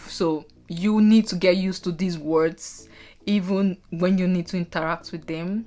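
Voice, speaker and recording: With a Nigerian accent, a woman talks at a moderate pace in a fairly low pitch, her intonation monotone and flat. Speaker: nurse. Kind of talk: casual talk to camera.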